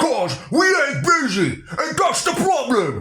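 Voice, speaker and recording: A put-on character voice is pitched high. It moves at a fairly slow pace. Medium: read story. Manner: sneering, hotheaded.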